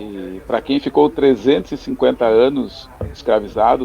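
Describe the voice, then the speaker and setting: This man talks at a medium pitch with ordinary variation in it. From Porto Alegre, southern Brazil. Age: 50s. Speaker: lawyer. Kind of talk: radio debate.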